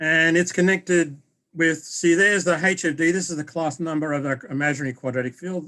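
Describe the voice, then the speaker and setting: Bright and sharp in tone, a man with an Australian accent speaks very fast at a fairly high pitch. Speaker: mathematics professor. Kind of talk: academic lecture.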